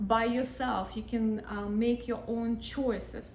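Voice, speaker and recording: A woman's fairly high voice carries fairly even intonation, with audible echo from the room and noticeable noise in the background. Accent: non-native. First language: not English. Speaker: hypnotherapist. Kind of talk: casual talk to camera. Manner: hesitant, many fillers.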